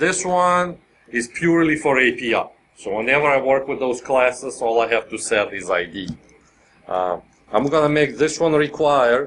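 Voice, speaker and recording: Ordinary pitch variation and a moderate pace in a male voice. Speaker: software developer and conference speaker. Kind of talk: technical conference talk with live coding. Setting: conference room with live audience.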